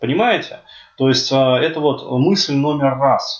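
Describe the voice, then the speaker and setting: Here a man speaks at a moderate pace. His pitch is fairly high. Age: 30s. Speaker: podcaster. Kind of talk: monologue. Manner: halting.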